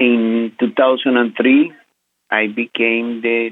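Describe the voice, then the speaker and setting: A man with a Spanish accent. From Venezuela. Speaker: credit union community relations director. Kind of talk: interview.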